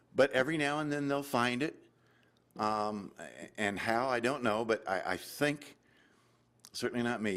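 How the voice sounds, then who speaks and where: This man's moderate-paced speech, with ordinary pitch variation, is captured on a very clean recording against a silent background. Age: 60s. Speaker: inventor. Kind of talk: audience Q&A. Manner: halting.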